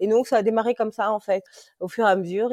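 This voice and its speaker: A woman with a dark, mellow tone talks at a fairly quick pace in a dry, close sound with no echo. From France, moved from Congo as a small child. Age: 30s. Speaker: insurance claims adjuster and mother. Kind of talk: casual interview, personal testimony. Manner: hesitant, many fillers and repetitions.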